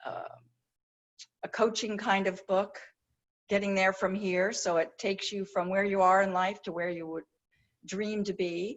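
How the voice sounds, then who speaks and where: A woman with an American accent speaks at medium pitch and a moderate pace. Her intonation is monotone and flat, broken by long, frequent pauses. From New Jersey. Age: 70s. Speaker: retired copywriter and author. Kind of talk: casual interview chat.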